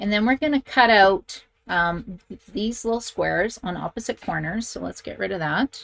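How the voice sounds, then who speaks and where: In a Canadian accent, a woman with a medium-pitched voice talks at a moderate pace with lively intonation and big swings in loudness, the sound dry and close with no echo. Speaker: craft instructor. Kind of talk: tutorial. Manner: chatty.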